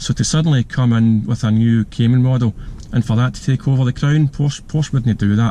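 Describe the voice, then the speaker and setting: Speaking with a strong Glasgow accent, a man keeps a fairly quick pace and fairly even intonation. His tone is dark and mellow, at a medium pitch. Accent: thick Glasgow. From Scotland, Glasgow. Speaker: car reviewer, YouTuber. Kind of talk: casual video review while driving. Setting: in a car. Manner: hesitant, many fillers.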